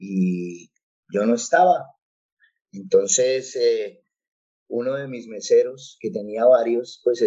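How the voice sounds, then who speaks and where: At a fairly slow pace, a man speaks. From Colombia, Bogotá. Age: 40s. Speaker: pastor. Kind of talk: interview testimony. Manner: hesitant, many fillers.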